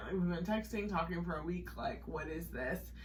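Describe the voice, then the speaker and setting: A woman's voice carries audible room echo, with noticeable background noise in the mix. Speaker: podcast co-host. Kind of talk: casual chat. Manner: fast; animated.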